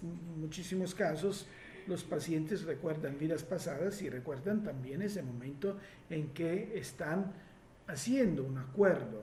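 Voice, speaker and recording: Audible room echo around fairly slow speech with ordinary pitch variation. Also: man. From Italy. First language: Italian (speaking Spanish). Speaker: hypnosis therapist. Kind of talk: live Q&A workshop. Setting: live stream. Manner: halting, many fillers.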